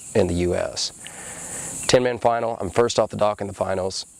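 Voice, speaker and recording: A man with an American accent speaks at a moderate pace, his pitch fairly low. His intonation stays fairly even over noticeable background noise. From Panama City, Florida. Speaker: professional wakeboarder. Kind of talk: interview answer. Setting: outdoors.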